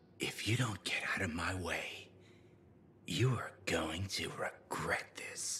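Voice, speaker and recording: In a whispered, put-on character voice, the speaker goes at a fairly slow pace. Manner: quiet, menacing.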